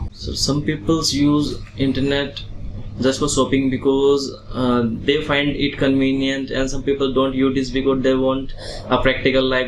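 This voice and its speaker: There is noticeable background noise and audible room echo. A man with a medium-pitched voice speaks at a moderate pace. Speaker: IELTS test candidate. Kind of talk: exam interview answers.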